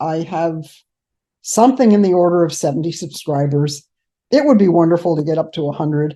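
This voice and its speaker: The voice has a dark, mellow tone and ordinary pitch variation. The background is quiet. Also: woman. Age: 70s. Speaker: keto diet vlogger. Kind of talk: casual monologue. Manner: unscripted, extemporaneous.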